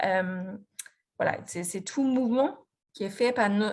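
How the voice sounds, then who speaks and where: Speaking fairly slowly, a woman with a slight Australian accent has a fairly high, somewhat breathy voice and ordinary pitch variation. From Australia, Melbourne. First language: English (speaking French). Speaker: physiotherapist and researcher. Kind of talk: lecture presentation. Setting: video conference. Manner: halting, many fillers and restarts.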